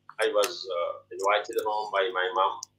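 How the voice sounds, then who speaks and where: At a moderate pace, a man speaks with a Pashto accent. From Pakistan, Pashto-speaking. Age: 50s. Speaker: poet and English teacher. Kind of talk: interview. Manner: halting, many fillers.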